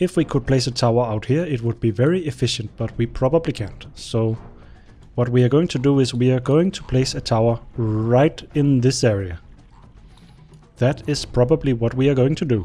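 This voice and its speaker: A man speaks with a Danish accent. Music plays in the background. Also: medium pitch for a man, ordinary pitch variation, moderate pace. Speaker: gaming YouTuber. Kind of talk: gameplay commentary. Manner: casual, rambling with hesitations.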